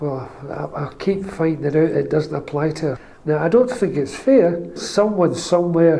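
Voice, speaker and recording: A man with a Scottish accent, fairly high pitch, ordinary pitch variation and a moderate pace, amid audible room echo and noticeable background noise. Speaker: pensioner. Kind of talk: testimony.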